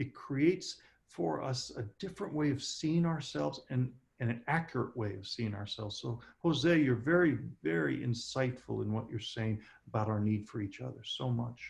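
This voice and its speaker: Speaking in an American accent at a moderate pace, a medium-pitched man sounds somewhat breathy, with lively intonation. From Southern California. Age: 60s. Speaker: speaker. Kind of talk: q&a session.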